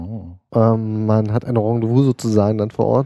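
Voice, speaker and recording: Recorded very cleanly against a silent background with a dry, close sound and no echo, a man speaks at a medium pitch with a dark, mellow tone and monotone, flat intonation. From eastern Germany. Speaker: paramedic. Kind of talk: casual interview. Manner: hesitant, many filler sounds.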